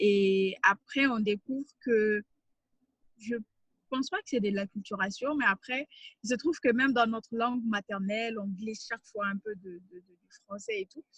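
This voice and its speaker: A somewhat breathy woman speaks fairly slowly at a fairly high pitch, with long, frequent pauses. Her loudness swings widely. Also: ordinary pitch variation, dry, close sound with no echo. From Mali. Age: 20s. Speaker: writer and NGO communications officer. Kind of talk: interview conversation. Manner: hesitant, many fillers.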